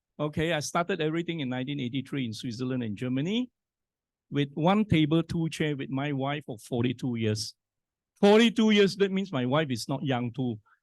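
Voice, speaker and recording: A man with a normal speaking voice talks at a fairly quick pace in a fairly high pitch, his intonation lively and the sound dry and close with no echo. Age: 60s. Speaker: scientist and business speaker. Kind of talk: motivational talk.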